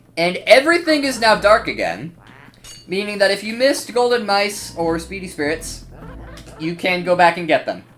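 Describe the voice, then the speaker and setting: A man speaks at a moderate pace with very wide pitch swings. Noticeable background noise is present. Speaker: gaming youtuber. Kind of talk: gameplay commentary. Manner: casual, filler-heavy.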